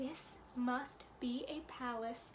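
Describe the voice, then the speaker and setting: A woman puts on a character voice with a high pitch. Clear background noise sits behind her. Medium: read story. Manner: soft, wondering.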